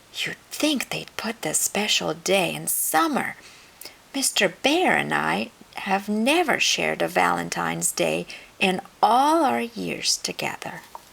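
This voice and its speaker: A woman puts on a character voice and talks at a fairly slow pace. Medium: read story. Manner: warm, fussing, determined.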